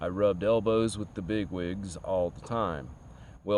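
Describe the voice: The passage comes through as plain reading aloud.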